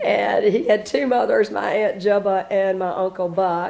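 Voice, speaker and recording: A woman with a Southern US accent speaks in a dark, mellow tone. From South Carolina, Spartanburg. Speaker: interviewee. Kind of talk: oral history interview. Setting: at home. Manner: hesitant, many fillers.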